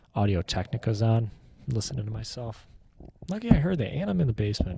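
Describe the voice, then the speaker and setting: A soft-spoken, somewhat breathy man with a fairly low pitch, very wide pitch swings and a dark, mellow tone, in a very clean recording with a silent background. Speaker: sports fan vlogger. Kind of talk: casual solo reaction monologue. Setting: home basement. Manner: halting.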